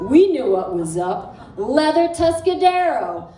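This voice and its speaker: A woman speaking very slowly over noticeable background noise. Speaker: poet. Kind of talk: spoken word poetry performance. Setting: live cafe audience.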